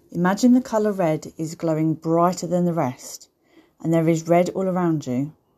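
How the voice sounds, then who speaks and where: A woman with a fairly low pitch speaks in a soothing, warm tone that is dark and mellow. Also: ordinary pitch variation. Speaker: meditation guide. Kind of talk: guided meditation, gentle step-by-step visualization script. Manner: slow, soothing, with pauses for breathing; warm, nurturing, as if addressing children.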